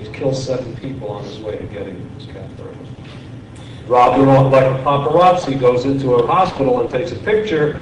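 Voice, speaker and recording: The pitch varies in an ordinary way at a fairly quick pace. Noticeable background noise runs underneath. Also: man. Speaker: literary agent. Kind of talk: panel discussion. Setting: stage with audience.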